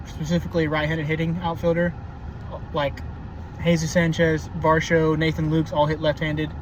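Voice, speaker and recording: A man with an American accent speaks in a monotone, flat way at a fairly high pitch and a fairly quick pace, with noticeable background noise. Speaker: baseball commentator. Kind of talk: casual monologue. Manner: halting, many fillers.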